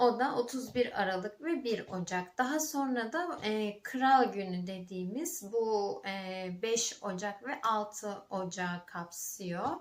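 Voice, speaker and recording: Very slow, lively speech from a woman at a medium pitch. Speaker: vlogger. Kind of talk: casual vlog talk. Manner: halting, many fillers.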